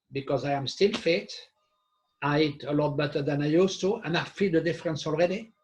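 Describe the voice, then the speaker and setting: Music plays in the background as a man talks at a fairly quick pace. His pitch is fairly high, with ordinary pitch variation. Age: 60s. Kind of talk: casual discussion. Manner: halting.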